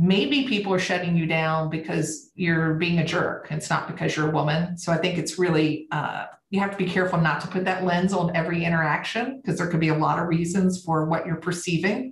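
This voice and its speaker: A woman with a Southern US accent talks at a fairly quick pace in a fairly low voice, with hardly any pauses, very even loudness and fairly even intonation. Room echo is audible, and there is noticeable background noise. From US South. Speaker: company CEO. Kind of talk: interview.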